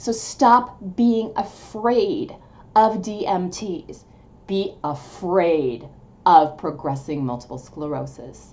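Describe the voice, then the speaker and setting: Vocal fry at a very slow pace, with very wide pitch swings and big swings in loudness. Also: woman, medium pitch for a woman. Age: 50s. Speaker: video blogger with multiple sclerosis. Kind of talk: casual vlog monologue. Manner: halting, loses track.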